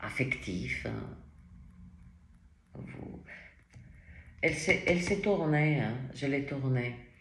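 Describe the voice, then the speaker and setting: Very slow and broken by long, frequent pauses, a woman's very deep, low voice swings widely in loudness against audible room echo. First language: not French (speaking French). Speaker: tarot reader. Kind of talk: tarot reading. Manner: animated, with many fillers.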